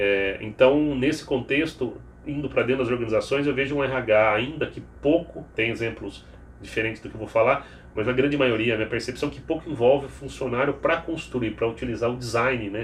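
A man's somewhat breathy, medium-pitched voice with fairly even intonation and a fairly quick pace. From Piracicaba, São Paulo state, Brazil. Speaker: HR executive. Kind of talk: interview conversation.

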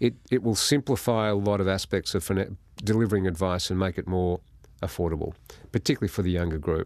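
A man speaks at a fairly quick pace with a very deep, low pitch and fairly even intonation, in an Australian accent. The background is quiet. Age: 60s. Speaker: financial services executive. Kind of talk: interview.

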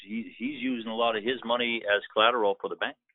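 A man with a medium-pitched, fairly even delivery uses an ordinary speaking voice. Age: 60s. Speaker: scrap metal business owner. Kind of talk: phone consultation.

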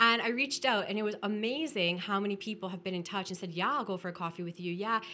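A woman with a Canadian accent and medium pitch speaks at a very fast pace in a bright, sharp tone with ordinary pitch variation. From Ontario, Canada (Welland). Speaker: public health consultant. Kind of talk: casual interview chat. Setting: studio office.

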